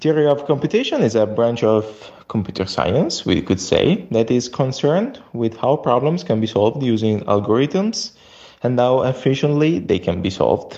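In an Italian accent, a man speaks at a moderate pace with a medium pitch. His intonation is lively while his loudness stays very even. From Italy. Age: 20s. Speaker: software engineer. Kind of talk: recorded voice message. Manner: halting.

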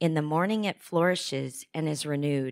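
Her voice sits at a very deep, low pitch for a woman, moving at a moderate pace with ordinary pitch variation. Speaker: scripture reader. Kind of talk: reading aloud. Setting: church.

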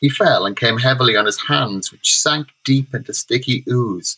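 The text is given plain reading aloud, its pitch varying in an ordinary way.

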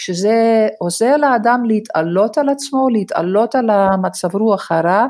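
A woman talks at a fairly slow pace with a non-native accent, a fairly high pitch, ordinary pitch variation and hardly any pauses. Her loudness stays very even in a very clean recording with a silent background. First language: not Hebrew (speaking Hebrew). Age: 60s. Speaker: gerontology lecturer and social worker. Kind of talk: interview.

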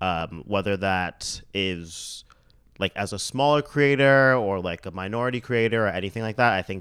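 In a very clean recording with a silent background, a man with a Canadian accent and an unremarkable speaking voice talks at a moderate pace with ordinary pitch variation. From Mississauga, Ontario, Canada. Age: 30s. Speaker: fashion and lifestyle blogger. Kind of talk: casual interview chat.

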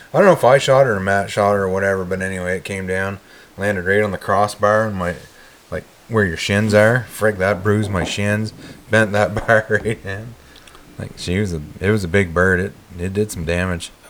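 Noticeable background noise sits behind a man's voice. He speaks fast-ish, at a fairly low pitch with fairly even intonation. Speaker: podcast host. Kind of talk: casual chat. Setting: recording hunting podcast with friends. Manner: joking, banter.

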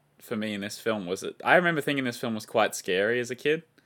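With an Australian accent, a man speaks in a bright, sharp tone and ordinary pitch variation. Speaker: film review podcast co-host. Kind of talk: casual chat; scripted narration. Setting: video call.

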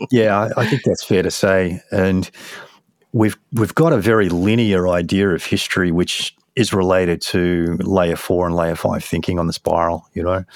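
Delivered at a moderate pace, the speech has fairly even intonation and an Australian accent. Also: man, very deep, low pitch for a man. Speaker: psychedelic research nonprofit director. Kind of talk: interview. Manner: halting.

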